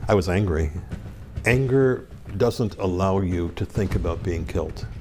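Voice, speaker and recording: A man's very deep, low voice in a northeastern Pennsylvania accent, with music in the background. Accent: northeastern Pennsylvania American. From northeastern Pennsylvania, US. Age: 70s. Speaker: former hostage, diplomat. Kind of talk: interview.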